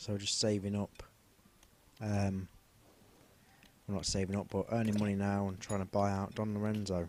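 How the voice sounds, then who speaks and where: A man with a Leicester accent, fairly low in pitch, monotone and flat, at a moderate pace. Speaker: gaming commentator. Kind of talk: gameplay commentary. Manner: casual, with fillers.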